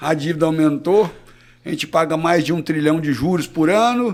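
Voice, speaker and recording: In an ordinary speaking voice, a man of fairly high pitch talks at a fairly quick pace with ordinary pitch variation. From Brazil, southern Minas Gerais. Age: 60s. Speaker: cattle rancher and veterinarian. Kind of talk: podcast interview.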